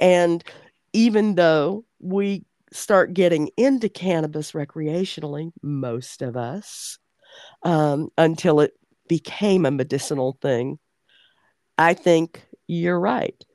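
Very slow and marked by long, frequent pauses, a woman's fairly low voice has a dark, mellow tone and lively intonation. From Oklahoma and Arkansas. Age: 60s. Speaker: podcast host. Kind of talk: interview, casual conversational. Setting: video call, remote guest.

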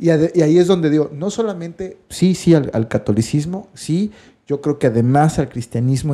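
With a Mexican accent, a man speaks at a moderate pace and a fairly high pitch, his intonation lively. His tone is dark and mellow on a very clean recording with a silent background. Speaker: podcast co-host, writer. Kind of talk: casual chat. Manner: halting, repeats words.

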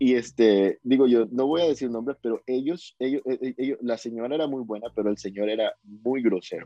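At a moderate pace and with hardly any pauses, a man talks with ordinary pitch variation. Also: medium pitch for a man. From Ecuador, Guayaquil. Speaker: urban music singer. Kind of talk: interview. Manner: halting, many repetitions.

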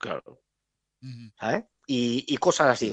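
This man's pitch swings very widely, captured in a dry, close sound with no echo against a quiet background. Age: 40s. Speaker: DJ and club programmer. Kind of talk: casual chat. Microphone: connection problems.

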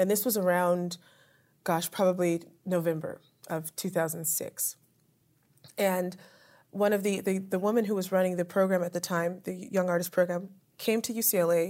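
In a very clean recording with a silent background, a woman with an American accent speaks at a moderate pace in a medium pitch, her dark, mellow tone delivered in a monotone, flat intonation. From US, Southern California (Apple Valley). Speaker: opera singer. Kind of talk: interview. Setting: theater venue.

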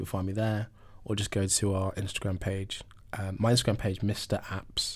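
The speaker has a London accent and a somewhat breathy voice. Delivery is at a moderate pace with monotone, flat intonation. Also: man, fairly low pitch for a man. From South London, England. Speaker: venture capital investor. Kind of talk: interview.

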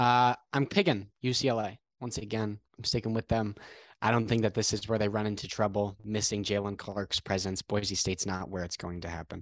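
A man with an American accent has a normal speaking voice, fairly low in pitch, with fairly even intonation at a fairly quick pace. The sound is dry and close with no echo, over a quiet background. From Connecticut. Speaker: sports podcast co-host, college student. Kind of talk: casual sports chat.

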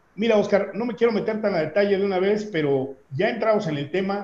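Using lively intonation, a man with a plain, everyday voice talks at a moderate pace. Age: 40s. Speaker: business trainer and consultant. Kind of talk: interview conversation.

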